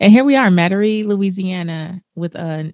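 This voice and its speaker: An animated voice with an American accent at a fairly slow pace, ordinary pitch variation and a dry, close sound with no echo. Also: woman. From US West Coast, South Central Los Angeles. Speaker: personal finance author and speaker. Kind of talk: interview, personal testimony. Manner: animated, laughs often.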